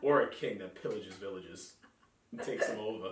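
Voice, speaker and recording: A man with an American accent talks at a fairly quick pace. Noticeable background noise and audible room echo surround him. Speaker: podcast host. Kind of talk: casual chat.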